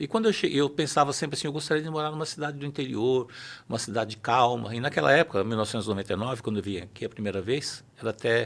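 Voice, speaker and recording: A man at a very fast pace with lively intonation, on a very clean recording with a silent background. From São Paulo city, Brazil. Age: 60s. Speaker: judge. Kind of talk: interview.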